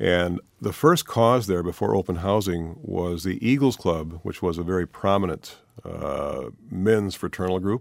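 Speaking with a Wisconsin accent, a man has a very deep, low pitch. His pace is fairly slow. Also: ordinary pitch variation. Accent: Upper Midwest (Wisconsin). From Milwaukee, Wisconsin (south side). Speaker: author and newspaper columnist. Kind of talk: radio interview. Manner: halting, with frequent fillers and repetitions.

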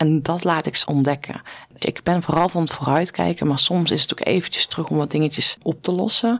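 A woman talks at a fairly quick pace in a fairly low voice, a plain, everyday voice. Her loudness is very even and her pitch varies in an ordinary way. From Netherlands, rural farm. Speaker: former pro cyclist, performance coach. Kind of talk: interview conversation.

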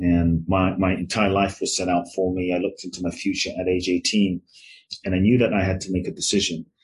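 Fairly quick, somewhat breathy speech from a man in a London accent, very deep and low in pitch, with monotone, flat intonation. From London, England (born in Ghana). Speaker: transformational teacher and author. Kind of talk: interview conversation.

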